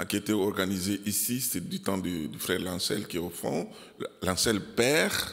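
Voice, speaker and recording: In a room with audible echo, a man with a non-native accent talks at a fairly slow pace and fairly low pitch, with ordinary pitch variation. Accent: foreign accent in French. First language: not French, learned it from Belgians (speaking French). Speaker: pastor. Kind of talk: sermon. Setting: church. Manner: halting, many fillers.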